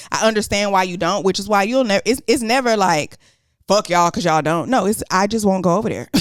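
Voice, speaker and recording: Talking very fast, a woman uses a medium pitch with ordinary pitch variation. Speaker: podcast co-host. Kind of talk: casual chat. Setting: sitting on a couch.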